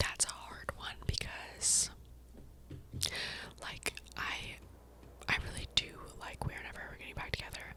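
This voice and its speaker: A woman whispers at a moderate pace, with big swings in loudness and long, frequent pauses over noticeable background noise. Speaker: ASMR creator. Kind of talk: casual ASMR talk to camera. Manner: whispered.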